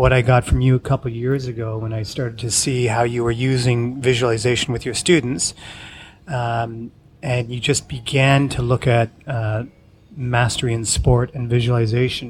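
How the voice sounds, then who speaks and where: A man speaks at a moderate pace with a medium pitch, a somewhat breathy voice and monotone, flat intonation. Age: 40s. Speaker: podcast host. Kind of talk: casual interview.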